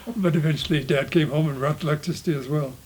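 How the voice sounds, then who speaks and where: A man with a Montana accent speaks at a fairly quick pace with a fairly high pitch. His pitch varies in an ordinary way, and background noise is noticeable. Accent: rural Montana American English. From Montana, USA. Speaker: homesteading family descendant. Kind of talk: interview answer.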